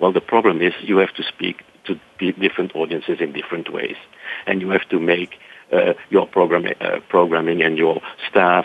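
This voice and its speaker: A man with a Belgian accent speaks at a moderate pace. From Belgium (Brussels). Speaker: science center association director. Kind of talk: interview. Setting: radio studio.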